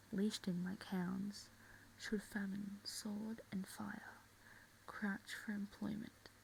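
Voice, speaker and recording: Soft-spoken, the voice moves at a very slow pace. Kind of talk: soft-spoken ASMR reading of a play.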